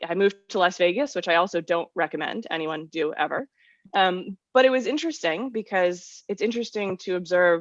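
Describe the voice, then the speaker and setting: A normal speaking voice from a woman at medium pitch, with an American accent, lively intonation and a fairly quick pace, dry and close with no echo over a quiet background. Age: 30s. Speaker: writer. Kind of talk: casual chat.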